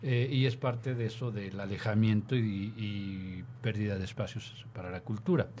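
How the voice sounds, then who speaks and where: Somewhat breathy and dark, mellow in tone, a man's voice moves at a fairly slow pace. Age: 50s. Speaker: radio host. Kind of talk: casual chat.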